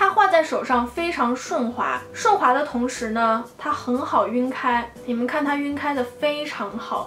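A high-pitched woman talks at a fairly slow pace with ordinary pitch variation and hardly any pauses. Noticeable background noise and audible room echo fill the recording. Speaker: beauty vlogger. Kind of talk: product review vlog.

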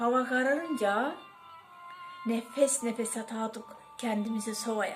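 A woman with a high pitch speaks at a very slow pace. Music plays in the background. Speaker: poet. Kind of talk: poetry reading.

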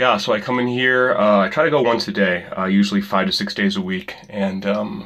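The speech runs at a fairly quick pace with hardly any pauses and ordinary pitch variation. The background is quiet. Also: man, fairly low pitch for a man. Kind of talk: casual vlog chat. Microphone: phone near.

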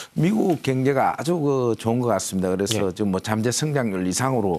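In an unremarkable speaking voice, a man with fairly low pitch talks fairly quickly with lively intonation on a very clean recording with a silent background. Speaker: newspaper editorial writer hosting an economics show. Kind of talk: interview.

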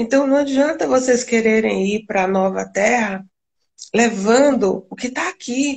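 At a fairly slow pace, a woman with a Brazilian accent talks at a fairly high pitch with ordinary pitch variation. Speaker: spiritual channeler and live stream host. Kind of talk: casual spiritual chat on a live stream. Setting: video call live stream.

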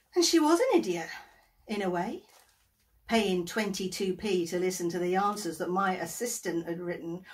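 A woman is speaking. Her pace is fairly slow. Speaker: actor playing an agony aunt. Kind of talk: theatrical monologue. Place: home room. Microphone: phone near.

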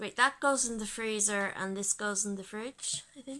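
A woman's voice has a bright, sharp tone. Her intonation is fairly even. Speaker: home vlogger. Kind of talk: casual unboxing tutorial chat. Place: home room.

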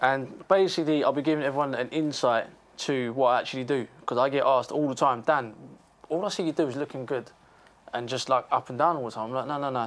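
Here a man speaks at a fairly quick pace with ordinary pitch variation. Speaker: guest. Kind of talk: interview answer. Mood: relaxed, upbeat. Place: studio. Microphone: lapel.

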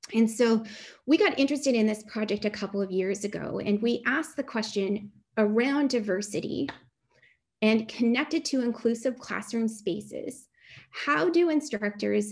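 A woman speaks at a moderate pace with a fairly high pitch and ordinary pitch variation. Her voice is somewhat breathy, over a quiet background. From Canada, Ottawa Valley; Canada. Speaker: chemistry professor. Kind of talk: online talk. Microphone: webcam.

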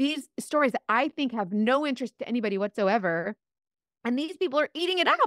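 Very fast and animated, a woman with an American accent talks at a high pitch with very wide pitch swings, the sound dry with no echo and the background quiet. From US South. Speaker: influencer and direct sales seller; influencer, direct sales seller. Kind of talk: podcast interview, storytelling. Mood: animated, amused storytelling. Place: home room. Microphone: studio mic.

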